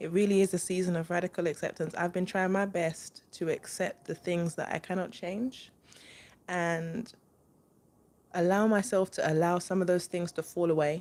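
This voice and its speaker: With a London accent, a woman talks at a moderate pace in a fairly low pitch. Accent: London English, multicultural London. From East London, England. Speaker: spiritual reader, channel host. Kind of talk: live stream spiritual talk with viewers. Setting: live stream. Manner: casual, animated.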